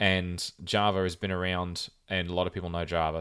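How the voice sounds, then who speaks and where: The recording is very clean and the background silent. A man talks in a very deep, low pitch. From Australia. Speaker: podcast host. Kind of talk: casual chat.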